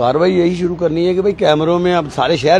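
A man talking fast, with a slightly mellow tone and faint noise in the background.

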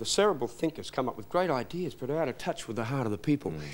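Here a man talks at a very fast pace in an Australian accent. His intonation is lively. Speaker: minister of religion and chaplain to bikers; minister of religion. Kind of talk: TV interview. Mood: earnest, reflective. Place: studio.

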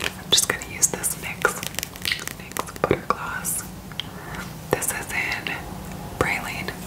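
Whispering, a woman speaks at a very slow pace. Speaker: makeup vlogger. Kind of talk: casual vlog chat. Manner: whispered product show-and-tell. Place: home room. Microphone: phone near.

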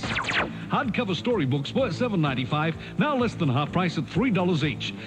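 A man's high-pitched voice at a fairly quick pace, with very wide pitch swings and music in the background. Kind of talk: TV commercial read.

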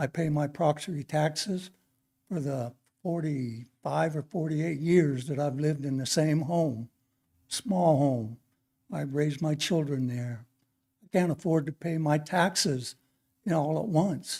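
Speaking at a fairly slow pace, a man has fairly high pitch with ordinary pitch variation and a somewhat breathy, dark, mellow tone. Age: 60s. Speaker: retired welder, public commenter. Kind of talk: public comment, unprepared. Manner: halting.

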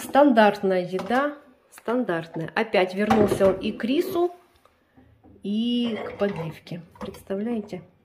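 Noticeable background noise sits under the recording. A woman talks at a very slow pace with long, frequent pauses. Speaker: home vlogger. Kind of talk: casual vlog chat. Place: home room. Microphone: phone near.

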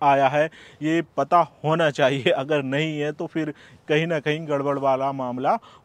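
A man with a plain, everyday voice and ordinary pitch variation is heard in a dry, close sound with no echo. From India. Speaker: YouTuber giving UK immigration advice. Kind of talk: video tutorial monologue. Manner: casual, conversational.

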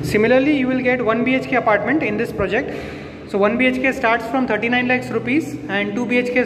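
An extremely high-pitched male voice with fairly even intonation, amid noticeable background noise. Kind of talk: property tour commentary. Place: empty room. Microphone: phone near.

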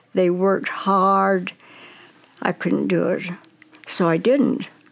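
Very slowly, a woman speaks with an American accent and very even loudness. The background is quiet. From Nevada. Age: 90s. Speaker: interviewee. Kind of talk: interview answer. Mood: calm, reflective reminiscing. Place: home room.

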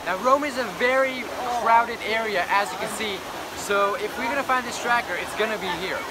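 A man is heard against loud background noise. The sound is dry, with no echo. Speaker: tech video host. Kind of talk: casual vlog chat. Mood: cheerful, upbeat. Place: street. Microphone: phone near.

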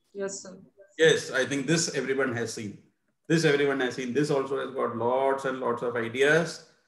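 Recorded with audible room echo, a man of medium pitch speaks at a moderate pace, his pitch varying in an ordinary way as his loudness swings widely. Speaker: teacher trainer. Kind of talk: webinar presentation. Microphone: video call.

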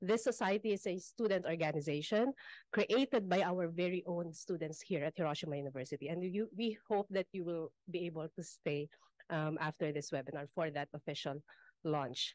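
Speaking at a fairly quick pace, a woman with a Filipino accent has a fairly low pitch and ordinary pitch variation. The sound is dry with no echo, over a quiet background. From Philippines. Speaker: academic webinar moderator. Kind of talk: moderating a webinar. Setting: conference room, hybrid webinar. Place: meeting room. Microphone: podium.

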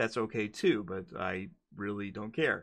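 Against a quiet background, a man talks at a fairly low pitch. His tone is bright and sharp. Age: 30s. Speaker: gaming YouTuber. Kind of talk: casual solo commentary video. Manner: hesitant with frequent fillers. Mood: opinionated, mildly irritated. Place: home room. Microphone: studio mic.

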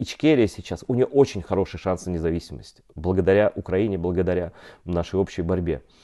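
Over a quiet background, a man with a very deep, low pitch speaks at a moderate pace with ordinary pitch variation. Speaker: journalist. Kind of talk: online interview. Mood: serious, earnest. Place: home room. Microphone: poor internet connection; lapel.

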